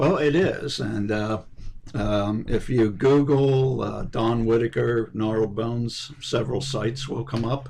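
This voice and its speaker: With ordinary pitch variation, a man speaks at a fairly slow pace and medium pitch. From Pennsylvania, Bethlehem. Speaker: poet, lyricist. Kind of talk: radio interview. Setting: radio studio. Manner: hesitant, many fillers.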